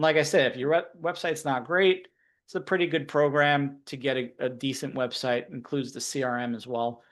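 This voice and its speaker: The background is quiet, and the pitch varies in an ordinary way. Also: man. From New York. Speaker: marketing consultant. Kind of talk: webinar presentation. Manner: fast.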